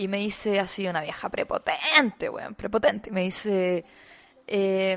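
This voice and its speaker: A woman at medium pitch and a fairly slow pace, over noticeable background noise. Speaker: podcast co-host. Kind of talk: casual chat.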